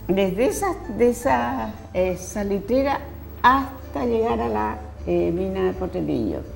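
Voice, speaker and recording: With music playing in the background and audible room echo, a woman talks at a fairly slow pace. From northern Chile (nitrate pampas, first region). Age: 70s. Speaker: poet and teacher. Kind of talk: interview.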